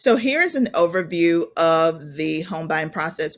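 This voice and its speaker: Pitched fairly low, a woman talks with an American accent. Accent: Southern US, comes out at times. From US South, South Georgia. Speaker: realtor. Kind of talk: webinar presentation.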